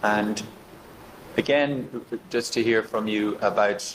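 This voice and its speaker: With an Irish accent, a man speaks at a fairly low pitch with fairly even intonation over noticeable background noise. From Ireland. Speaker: election observation mission leader. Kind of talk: formal meeting address. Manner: formal, with frequent hesitations.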